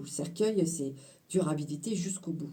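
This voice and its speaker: A woman speaks at a fairly slow pace in a fairly low pitch, her dark, mellow tone somewhat breathy, with ordinary pitch variation and audible room echo. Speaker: tarot card reader. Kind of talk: card reading interpretation. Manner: animated, talkative.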